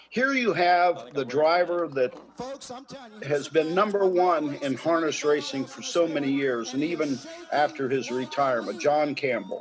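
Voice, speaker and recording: Over noticeable background noise, a man speaks at a fairly slow pace. His pitch is fairly high, with ordinary variation. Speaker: harness racing announcer. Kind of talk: interview answer.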